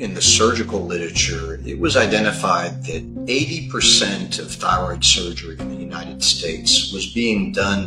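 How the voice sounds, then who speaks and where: The speech moves at a fairly slow pace with clear music in the background. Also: man. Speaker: guest. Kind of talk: interview answer. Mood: earnest, explanatory. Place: office. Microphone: video call.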